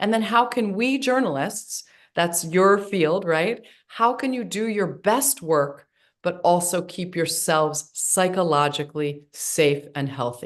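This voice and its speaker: This woman has a medium pitch and a lively intonation. She speaks at a fairly slow pace against a quiet background. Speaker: trauma psychologist. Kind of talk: webinar lecture. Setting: online webinar.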